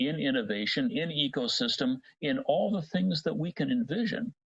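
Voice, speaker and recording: A man with a Cincinnati accent and vocal fry, very wide pitch swings and a moderate pace, in a dry, close sound with no echo. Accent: Cincinnati TV announcer American English. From US Midwest. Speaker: voice technology industry advocate. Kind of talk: podcast interview.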